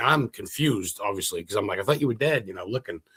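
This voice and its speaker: A man with an American accent speaks at a very fast pace in an animated tone, his voice medium-pitched and somewhat breathy. The recording is very clean, with a silent background. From Maine, US. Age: 40s. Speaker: paranormal investigator and historian. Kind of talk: casual interview.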